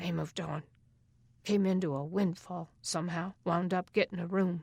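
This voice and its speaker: A woman puts on a raspy character voice, fairly low in pitch, delivered at a moderate pace in a monotone, flat intonation. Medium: read story. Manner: gruff, slangy.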